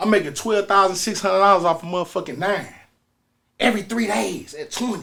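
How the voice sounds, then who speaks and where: A man projects a raised voice at a high pitch with ordinary pitch variation. His tone is bright and sharp, his pace fairly quick. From North St. Louis, Missouri. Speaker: musician. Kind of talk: casual storytelling interview. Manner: animated.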